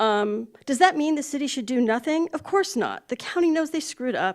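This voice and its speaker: On a very clean recording with a silent background, a woman is heard. She talks at a fairly quick pace with very wide pitch swings. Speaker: public commenter, local journalist. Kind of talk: public comment at council meeting. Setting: city council meeting. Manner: fast; halting, with restarts.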